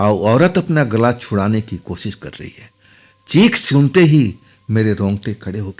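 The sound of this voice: The unforced reading voice moves with lively intonation.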